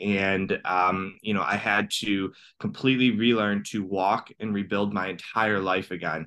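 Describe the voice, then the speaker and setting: With a Midwestern accent, a man speaks at a fairly low pitch. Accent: American (Midwest). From US. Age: 30s. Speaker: cancer survivor and transformational coach. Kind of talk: interview.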